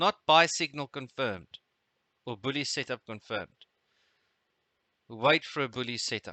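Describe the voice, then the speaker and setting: In a South African accent, a man speaks at a moderate pace and medium pitch with ordinary pitch variation, leaving long, frequent pauses. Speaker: trading webinar host. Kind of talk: live trading webinar tutorial. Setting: live webinar. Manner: hesitant, many fillers.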